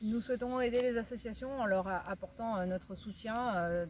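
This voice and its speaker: A woman speaks at a moderate pace. Her voice is somewhat breathy, with ordinary pitch variation. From Limousin, France. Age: 40s. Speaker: teacher and local election candidate. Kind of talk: campaign presentation.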